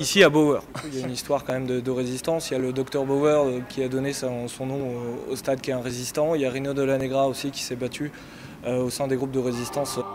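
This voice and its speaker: A man's medium-pitched, monotone, flat delivery at a very fast pace, over noticeable background noise. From Yvelines, France. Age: 30s. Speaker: football supporter, political activist. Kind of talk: interview.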